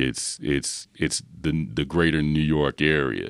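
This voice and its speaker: Very slowly and with vocal fry, a man with an American accent talks in a very deep, low pitch, the sound dry and close with no echo. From Philadelphia, US. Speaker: professor. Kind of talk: casual chat. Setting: studio. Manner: halting.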